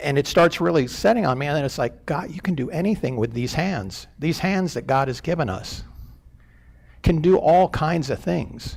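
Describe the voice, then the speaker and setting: At a moderate pace, a man speaks with a fairly high pitch, lively intonation and vocal fry. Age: 60s. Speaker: church elder. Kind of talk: sermon. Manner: halting, many fillers.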